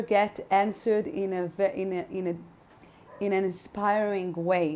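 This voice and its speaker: Her tone is dark and mellow, and this woman carries a non-native accent. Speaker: spiritual podcaster. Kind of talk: podcast monologue. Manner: halting, many fillers.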